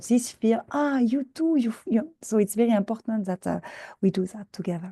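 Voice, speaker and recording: In a French accent, a somewhat breathy voice with a dark, mellow tone speaks with ordinary pitch variation. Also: woman. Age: old. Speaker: scientist and mentor. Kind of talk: conference presentation. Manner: fast; halting, many fillers and repetitions.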